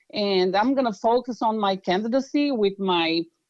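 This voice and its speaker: With lively intonation, a woman talks at medium pitch in a Brazilian accent. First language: Portuguese. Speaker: political candidate. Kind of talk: interview. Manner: halting.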